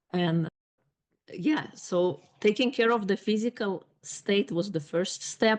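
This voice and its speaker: With a non-native accent, a woman speaks with ordinary pitch variation. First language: not English. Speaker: life coach and author. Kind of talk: podcast interview.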